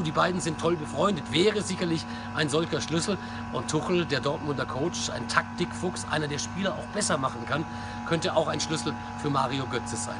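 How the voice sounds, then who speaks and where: Loud background noise surrounds a man speaking at a fairly quick pace. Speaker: sports commentator and football blogger. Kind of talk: football vlog commentary to camera. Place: street. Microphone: phone near.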